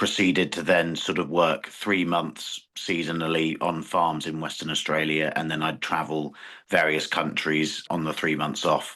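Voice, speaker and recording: A bright, sharp tone in a British accent at a fairly slow pace. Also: man. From England. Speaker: farmer. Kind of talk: interview. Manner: halting.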